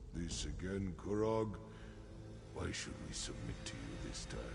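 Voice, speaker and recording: A man's put-on character voice, very deep and low, at a moderate pace over loud background noise. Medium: video game. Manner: gruff, stern.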